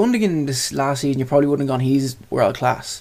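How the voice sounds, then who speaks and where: Speaking at a fairly quick pace in an Irish accent, a man uses a fairly high voice with ordinary pitch variation. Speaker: sports podcast co-host. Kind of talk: casual chat.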